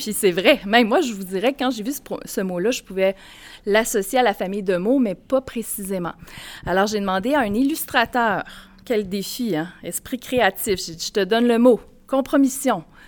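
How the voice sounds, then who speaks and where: A woman has a plain, everyday voice at a fairly high pitch. She speaks at a moderate pace with ordinary pitch variation. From Mauricie, Quebec. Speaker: college educator. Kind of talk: live podcast interview before audience. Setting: stage with audience.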